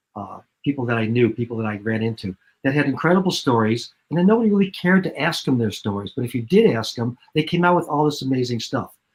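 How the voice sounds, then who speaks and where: Somewhat breathy and medium in pitch, a man talks very fast with lively intonation. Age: 70s. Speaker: television producer and director. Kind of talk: interview. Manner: halting with repetitions.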